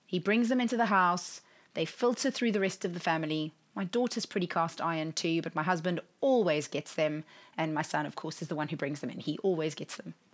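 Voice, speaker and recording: A woman's fairly low voice with an English accent. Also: lively intonation, fairly quick pace. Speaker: podcast host and life coach. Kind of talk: solo podcast monologue.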